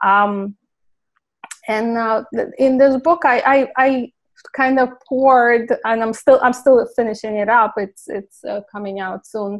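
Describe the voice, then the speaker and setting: The speaker has a Ukrainian accent and fairly even intonation. The pace is fairly slow, with long, frequent pauses. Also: woman, high pitch for a woman. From Ukraine. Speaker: clinical pharmacist. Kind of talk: interview.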